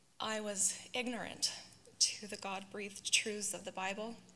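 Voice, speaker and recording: This woman has a bright, sharp tone. She speaks at a very slow pace. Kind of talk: read personal testimony. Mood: earnest, reflective. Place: church. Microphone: handheld.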